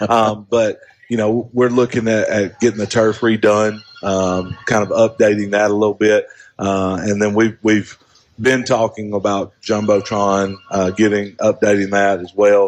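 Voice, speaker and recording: In an Alabama accent, a man talks loudly at a fairly slow pace, his fairly low pitch held in a monotone, flat intonation. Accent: Southern US (Alabama). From northern Alabama. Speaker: high school principal. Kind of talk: casual radio interview. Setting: live radio broadcast from a coffee shop.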